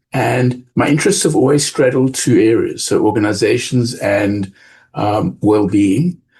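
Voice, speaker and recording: A man with a South African accent, medium-pitched and somewhat breathy, with lively intonation, very even loudness and a fairly slow pace. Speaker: business school professor. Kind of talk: podcast interview.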